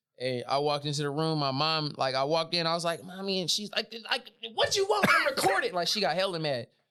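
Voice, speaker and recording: With hardly any pauses, a man talks at a very fast pace in a high voice with ordinary pitch variation. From Sacramento, California. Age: 30s. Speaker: rapper. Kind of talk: casual chat.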